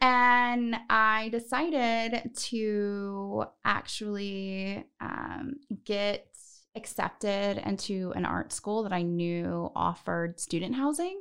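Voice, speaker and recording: Speaking very slowly against a quiet background, a woman with an American accent uses a medium-pitched, bright, sharp voice with ordinary pitch variation. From Northern California. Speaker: podcast host. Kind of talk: casual chat. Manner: animated.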